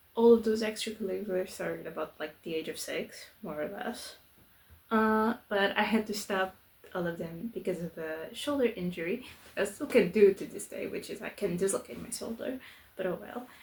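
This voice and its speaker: A woman's somewhat breathy voice with a Portuguese accent, medium pitch, ordinary pitch variation, a moderate pace and big swings in loudness. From southern Portugal. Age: 20s. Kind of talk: casual vlog introduction. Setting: home, filming away from her desk. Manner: casual, with fillers and false starts.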